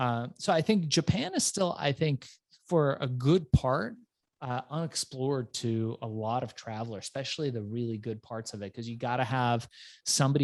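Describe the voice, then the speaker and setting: In a very clean recording with a silent background and a dry, close sound with no echo, a man talks at a moderate pace and medium pitch with ordinary pitch variation in a plain, everyday voice. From Iran, raised in US from childhood. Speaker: entrepreneur and author. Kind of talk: interview storytelling. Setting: podcast.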